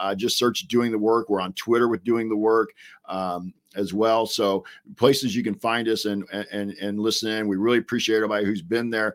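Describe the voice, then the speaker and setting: A man's ordinary speaking voice, fairly low-pitched, with fairly even intonation at a fairly quick pace. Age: 50s. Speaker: basketball coach and podcaster. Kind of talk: casual sports discussion.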